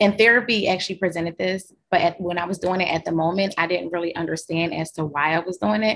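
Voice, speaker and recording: A woman's plain, everyday voice, fairly low in pitch with ordinary pitch variation and an American accent. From Philadelphia. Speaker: documentary subject, social worker. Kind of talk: interview chat.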